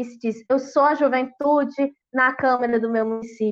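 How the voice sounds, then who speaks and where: A woman talks at a moderate pace in a high pitch. Her intonation stays fairly even. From Brazil, interior of Ceará (sertão). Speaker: rural trade union youth leader. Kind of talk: online panel debate. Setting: online live stream.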